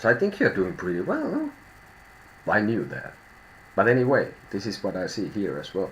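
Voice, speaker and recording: A man speaks with a Finnish accent at a moderate pace. He leaves long, frequent pauses. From Finland. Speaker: tarot reader. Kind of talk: live stream tarot reading. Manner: halting, thinking out loud.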